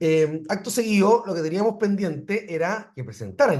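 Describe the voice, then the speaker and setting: A somewhat breathy man speaks in a Chilean accent. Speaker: university professor. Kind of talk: lecture. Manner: halting.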